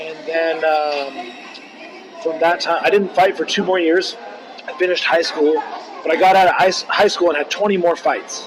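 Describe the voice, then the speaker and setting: Speech in an American accent comes with noticeable background noise and audible room echo. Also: man. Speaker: martial artist. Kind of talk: interview.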